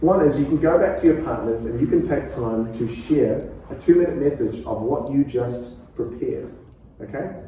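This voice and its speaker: A man talks at a fairly quick pace. Audible room echo surrounds the voice. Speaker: pastor. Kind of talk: preaching workshop lecture. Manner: calm.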